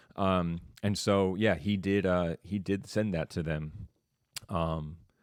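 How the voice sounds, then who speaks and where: Very deep and low in pitch, this man speaks with ordinary pitch variation in a dry, close sound with no echo. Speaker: teacher. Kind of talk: online class discussion. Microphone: studio mic with sound board.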